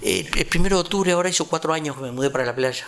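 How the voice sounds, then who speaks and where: A man talks very fast with ordinary pitch variation. Noticeable background noise can be heard. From Uruguay, rural Canelones. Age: 70s. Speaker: retired community organizer. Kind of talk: interview testimony.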